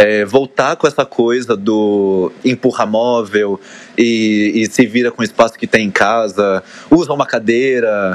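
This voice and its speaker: A man speaks in an unremarkable speaking voice at medium pitch. His pitch varies in an ordinary way. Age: 20s. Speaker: dancer and fitness trainer. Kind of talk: casual chat.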